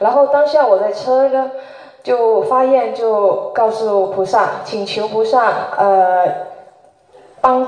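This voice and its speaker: A woman talks with a fairly high pitch. Noticeable noise runs in the background. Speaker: audience member asking a question. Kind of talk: personal testimony and question. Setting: live event with audience.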